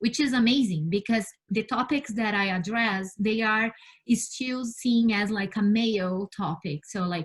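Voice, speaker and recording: Somewhat breathy woman's voice at a fairly high pitch, fairly slow, with ordinary pitch variation and a Brazilian Portuguese accent. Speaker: space scientist. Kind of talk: interview. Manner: halting, with many fillers and repeats.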